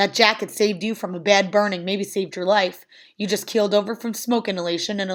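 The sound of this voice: The intonation is fairly even. It belongs to an unforced reading voice.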